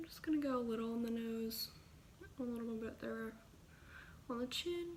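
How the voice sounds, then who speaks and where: A woman speaks at a fairly high pitch and moderate pace with ordinary pitch variation, amid audible room echo and noticeable background noise. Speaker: beauty vlogger. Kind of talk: makeup tutorial. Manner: casual, chatty.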